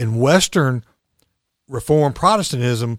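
Speaking with an Alabama accent at a moderate pace, the voice shows ordinary pitch variation on a very clean recording with a silent background. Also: man. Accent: US Southern (Alabama). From Alabama (Chelsea, near Birmingham). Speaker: recovery coach. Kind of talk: interview about recovery and spirituality.

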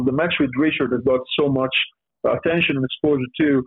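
A man speaks with an Italian accent. His pitch sits fairly high. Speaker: professional wrestler. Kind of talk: podcast interview. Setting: video call. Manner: halting.

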